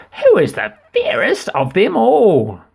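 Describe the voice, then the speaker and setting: A man performs in a put-on character voice. He speaks at a fairly slow pace. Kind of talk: bedtime story. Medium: read story. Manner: imperious.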